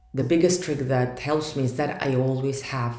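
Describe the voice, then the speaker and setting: In a room with audible echo, a woman with a Russian accent speaks at a fairly slow pace in a very deep, low pitch with ordinary pitch variation. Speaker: startup founder. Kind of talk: vlog monologue.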